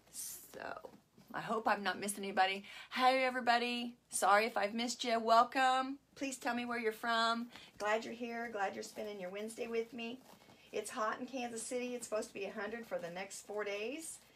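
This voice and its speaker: A woman speaks at a moderate pace with fairly even intonation. Her loudness swings widely. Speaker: craft tutorial host. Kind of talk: live-streamed craft tutorial. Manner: casual, chatty. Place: home room. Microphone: phone near.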